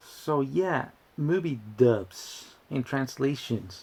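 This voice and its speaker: Speaking with a Spanish accent, a man uses lively intonation. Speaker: YouTuber. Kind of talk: casual commentary video. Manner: halting, with many restarts.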